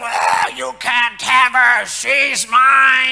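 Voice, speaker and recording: A man shouting in a put-on character voice at an extremely high pitch. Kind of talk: sermon. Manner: possessive, hostile.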